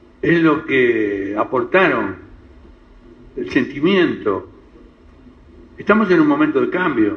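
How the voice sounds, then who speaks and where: Audible room echo surrounds a man talking at a very slow pace. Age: 80s+. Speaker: community elder of Lebanese descent. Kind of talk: interview talk, reminiscing. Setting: radio program. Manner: halting, with repetitions.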